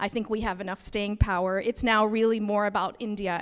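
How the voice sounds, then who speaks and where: Speaking in a Canadian accent, a woman uses a fairly high pitch, fairly even intonation and a moderate pace. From Canada. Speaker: nonprofit co-founder. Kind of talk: opening remarks speech.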